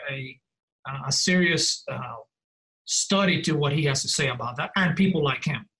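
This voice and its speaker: A man with a non-native accent speaks at a moderate pace in a bright, sharp tone with lively intonation. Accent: noticeable foreign. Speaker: professor of divinity. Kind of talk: casual interview conversation. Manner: halting, many fillers.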